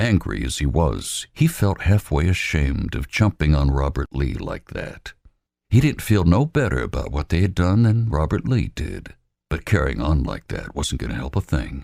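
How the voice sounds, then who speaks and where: A man's very deep, low, dark and mellow voice with vocal fry and very wide pitch swings, at a moderate pace. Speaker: voice actor. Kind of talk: audiobook narration.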